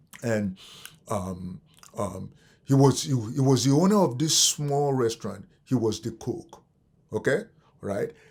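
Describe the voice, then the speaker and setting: With long, frequent pauses, a somewhat breathy man speaks at a fairly slow pace. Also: medium pitch for a man, lively intonation. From abroad, immigrant to the US. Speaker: real estate coach. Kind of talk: webinar talk with personal story. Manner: repetitive filler 'okay', halting.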